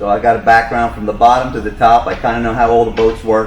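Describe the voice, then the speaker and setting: A man with a strong New York accent at a very fast pace, medium in pitch, monotone and flat in intonation, amid audible room echo and noticeable background noise. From New York, Long Island. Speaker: boat service manager, retired firefighter. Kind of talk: casual chat.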